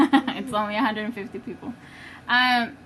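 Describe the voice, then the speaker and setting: A woman shouting, loud. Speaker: home baker demonstrating on live video. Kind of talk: live-stream tutorial. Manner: loud, shouting a little.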